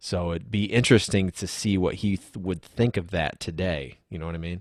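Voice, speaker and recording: A man talks at a fairly quick pace in a very deep, low pitch with ordinary pitch variation. The recording is very clean, with a silent background. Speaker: singer-songwriter musician. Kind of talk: casual interview chat.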